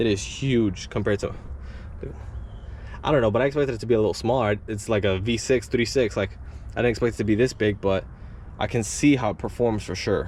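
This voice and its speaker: Marked by vocal fry, this voice moves at a very fast pace with long, frequent pauses and ordinary pitch variation. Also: man, medium pitch for a man. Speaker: car enthusiast YouTuber. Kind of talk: casual vlog walkthrough. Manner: halting, with fillers; rambling.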